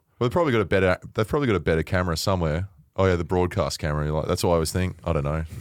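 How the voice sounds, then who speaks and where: On a very clean recording with a silent background, a man talks with an Australian accent. His very deep, low pitch shows ordinary variation at a very fast pace. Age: 30s. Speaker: media personality, former footballer. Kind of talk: casual chat.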